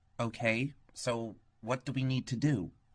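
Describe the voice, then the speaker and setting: In a put-on character voice, a man talks at medium pitch and a moderate pace. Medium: read story.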